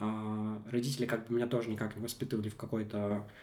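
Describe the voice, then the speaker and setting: Here a man speaks in a dark, mellow tone at medium pitch. His pace is moderate and his intonation fairly even. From Komi Republic, Russia. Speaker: media founder and decolonial activist. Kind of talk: interview conversation. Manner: halting, many filler sounds.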